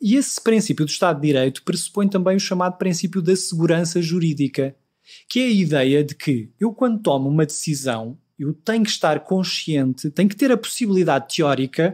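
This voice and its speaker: On a very clean recording with a silent background, a man talks in a European Portuguese accent. His pitch is high, his intonation lively, his pace fairly quick. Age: 40s. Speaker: law professor. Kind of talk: interview.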